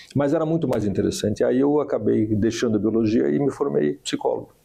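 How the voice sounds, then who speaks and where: A man speaks at a very fast pace. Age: 60s. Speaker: doctor. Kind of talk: podcast interview. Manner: hesitant, many fillers.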